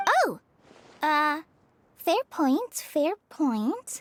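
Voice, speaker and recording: A woman's put-on character voice, bubbly in tone and high in pitch, with a dry, close sound and no echo. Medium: video game. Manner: bubbly, eager.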